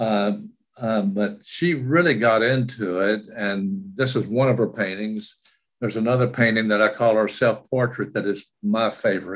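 The pace here is moderate. A man speaks at a medium pitch with ordinary pitch variation. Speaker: caregiver. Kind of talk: testimony. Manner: halting.

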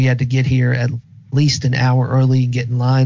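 The man's voice sits at a medium pitch. It is somewhat breathy. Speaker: guest co-host. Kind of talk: casual chat.

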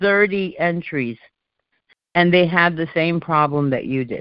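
In a plain, everyday voice with an American accent, the speaker talks at a fairly slow pace with lively intonation. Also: woman. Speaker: call host. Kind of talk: community call discussion. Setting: phone call.

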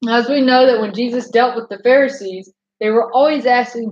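A woman with a plain, everyday voice talks at a moderate pace, her fairly high pitch held in fairly even intonation. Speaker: bible teacher. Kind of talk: scripture reading and teaching.

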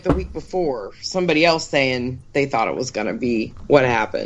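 A woman speaks at a moderate pace with vocal fry. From Pittsburgh. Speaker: podcast co-host. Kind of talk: casual chat.

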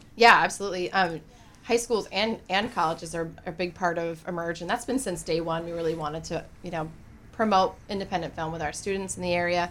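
Talking at a fairly quick pace, a woman with a normal speaking voice and fairly low pitch shows ordinary pitch variation. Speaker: film festival organizer. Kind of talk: radio interview, casual chat. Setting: studio.

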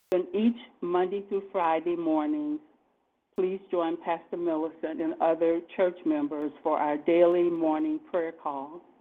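The speaker is a woman with an unremarkable speaking voice at a fairly low pitch. She goes at a fairly slow pace with ordinary pitch variation. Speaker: church service announcer. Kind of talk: formal welcome and announcements.

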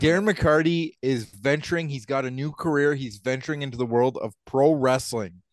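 A man with a Canadian accent, an unremarkable speaking voice, fairly high in pitch, at a moderate pace with ordinary pitch variation. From Ontario, Canada. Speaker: podcast co-host, hockey game official. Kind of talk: casual chat.

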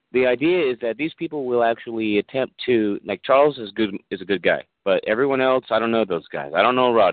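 The voice is a man's. It shows ordinary pitch variation. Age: 40s. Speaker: caller. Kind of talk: call-in discussion. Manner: halting, repetitive.

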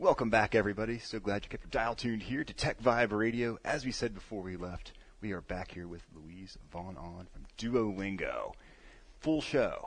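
With a plain, everyday voice, a man speaks at a moderate pace and medium pitch, showing ordinary pitch variation and big swings in loudness. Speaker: radio host. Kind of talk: casual radio chat. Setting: on location in company office.

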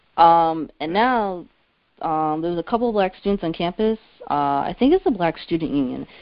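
With an American accent and a normal speaking voice, a woman speaks at a moderate pace, her fairly low pitch carried by lively intonation. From central New Jersey. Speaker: college student caller. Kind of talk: call-in discussion.

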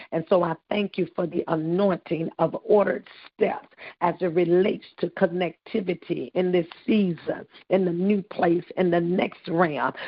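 A woman with an unremarkable speaking voice talks at a moderate pace. Her pitch is fairly low and her intonation fairly even. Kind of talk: intercessory prayer. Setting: phone call. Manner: fervent, repetitive declarations.

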